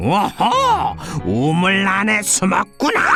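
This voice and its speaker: In a husky, middle-pitched, put-on character voice, someone speaks very slowly over clear background noise. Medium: audio drama. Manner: growling, tricky.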